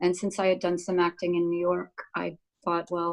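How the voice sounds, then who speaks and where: Recorded very cleanly against a silent background, a woman with an American accent speaks at a moderate pace. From United States. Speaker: actor. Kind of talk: casual chat.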